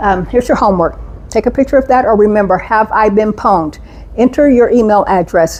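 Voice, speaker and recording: Noticeable background noise sits behind a woman with a fairly high pitch and ordinary pitch variation. She talks at a fairly quick pace, her loudness very even. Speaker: cybersecurity trainer. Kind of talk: presentation. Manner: fast.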